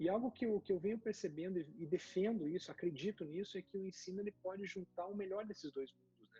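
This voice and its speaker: A dark, mellow voice rushes at a very fast pace with hardly any pauses and ordinary pitch variation. Loudness swings widely, and the sound is dry and close with no echo. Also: man, high pitch for a man. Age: 40s. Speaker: federal judge and professor. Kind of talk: casual chat. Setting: video call. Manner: halting.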